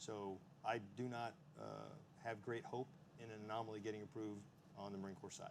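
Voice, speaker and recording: A man with a Texan accent, fairly low pitch, ordinary pitch variation, a fairly quick pace, and long, frequent pauses. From Texas. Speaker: Marine Corps officer on defense panel. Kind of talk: panel discussion answer.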